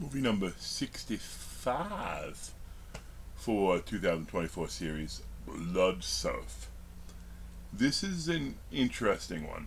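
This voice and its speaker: In a room with audible echo, a man talks at a very slow pace. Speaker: horror movie reviewer. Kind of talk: casual video review monologue. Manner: halting, many fillers and restarts.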